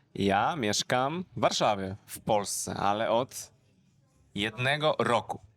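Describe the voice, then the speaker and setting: Talking very slowly at a medium pitch, a man shows ordinary pitch variation and big swings in loudness. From southern Poland. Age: 20s. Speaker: language teacher. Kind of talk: casual conversation in simple Polish. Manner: slow, repeating phrases for learners.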